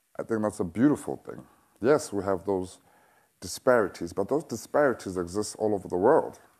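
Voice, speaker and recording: With a South African accent, the speaker moves at a fairly quick pace with lively intonation against a quiet background. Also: man, fairly low pitch for a man. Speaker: activist and speaker. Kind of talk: public speech. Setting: stage with audience.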